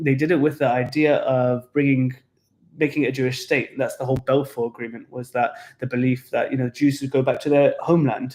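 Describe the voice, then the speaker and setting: This man speaks with a British accent. His intonation stays fairly even. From England. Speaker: tour guide. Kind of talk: casual chat.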